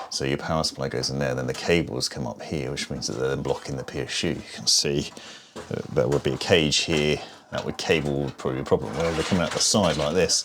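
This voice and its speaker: The speech runs at a very fast pace with fairly even intonation over noticeable background noise. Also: man, very deep, low pitch for a man. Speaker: PC building reviewer. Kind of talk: tech tutorial talk to camera.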